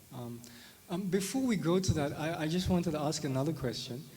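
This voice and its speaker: A man talks with ordinary pitch variation, and audible room echo can be heard. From South Africa. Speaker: spirituality teacher. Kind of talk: lecture. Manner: hesitant, many fillers; conversational, tag questions.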